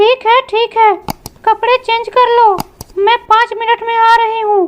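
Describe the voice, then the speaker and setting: A woman performs a cartoonish character voice at an extremely high pitch, delivered in a flat monotone at a moderate pace. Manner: scolding, questioning.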